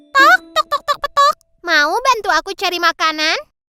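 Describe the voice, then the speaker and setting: An extremely high-pitched put-on character voice with very wide pitch swings at a moderate pace, faint music in the background. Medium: fan dub. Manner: clucking.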